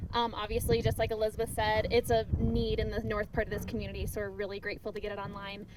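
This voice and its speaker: A woman rushes along at a very fast pace with hardly any pauses while noticeable background noise runs underneath. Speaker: preschool director. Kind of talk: public speech at groundbreaking. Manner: loud.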